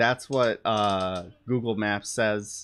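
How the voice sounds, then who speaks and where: A man speaks at a medium pitch. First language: not English. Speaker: streamer. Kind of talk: casual chat. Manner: halting.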